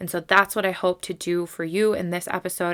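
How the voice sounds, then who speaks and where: A woman speaks with monotone, flat intonation at a fairly low pitch, in a very clean recording with a silent background. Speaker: spiritual podcast host. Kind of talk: solo podcast monologue. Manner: casual, conversational with fillers.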